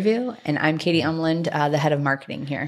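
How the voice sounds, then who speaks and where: A woman's fairly low-pitched voice at a very fast pace, with noticeable background noise. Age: 30s. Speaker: marketing head, podcast co-host. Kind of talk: casual chat.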